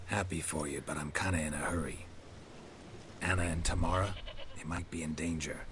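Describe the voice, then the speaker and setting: Using a put-on character voice with a very deep, low pitch, a man talks at a fairly quick pace broken by long, frequent pauses, over loud background noise. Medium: video game. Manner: dry, terse.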